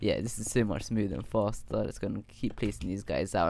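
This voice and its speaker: A man's fairly low voice with vocal fry at a very fast pace. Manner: animated, casual slang.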